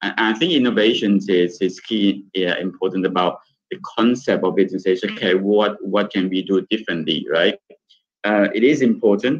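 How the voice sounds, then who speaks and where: Against a quiet background, a man talks in an unremarkable speaking voice with ordinary pitch variation. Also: fairly low pitch for a man, moderate pace. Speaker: hotel general manager; panelist. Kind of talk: webinar panel discussion. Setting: video call. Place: home room. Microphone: video call.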